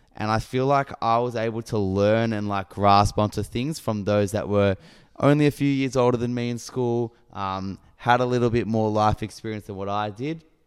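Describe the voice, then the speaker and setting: On a very clean recording with a silent background, a man with an Australian accent talks at a moderate pace with medium pitch, fairly even intonation and hardly any pauses. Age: 20s. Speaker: podcast co-host. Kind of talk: casual chat.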